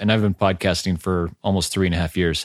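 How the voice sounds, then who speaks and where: On a very clean recording with a silent background, a man with fairly low pitch speaks with fairly even intonation, the sound dry and close with no echo. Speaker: podcast host. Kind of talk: casual interview. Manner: halting, filler-heavy.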